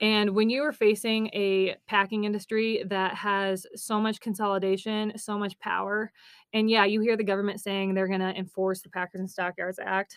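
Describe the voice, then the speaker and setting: A woman with an American accent, medium-pitched and monotone, flat in intonation, at a fairly quick pace. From Nebraska. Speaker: rancher and agriculture reporter. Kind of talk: podcast interview.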